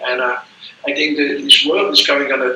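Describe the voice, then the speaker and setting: With a Dutch accent, a man talks over noticeable background noise. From Belgium. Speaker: business consultant. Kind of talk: self-introduction in a group workshop. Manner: halting.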